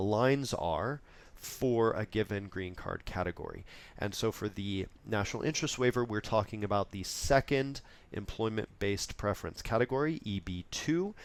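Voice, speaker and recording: Here is a man in a normal speaking voice. His pitch sits in the middle range, with ordinary variation. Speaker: immigration lawyer. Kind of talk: webinar presentation. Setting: online webinar.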